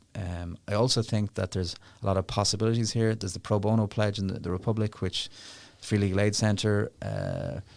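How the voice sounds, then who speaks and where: An Irish accent at a fairly quick pace, fairly even in intonation, on a very clean recording with a silent background. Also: man, fairly low pitch for a man. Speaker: legal charity director. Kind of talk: interview. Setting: studio. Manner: fast.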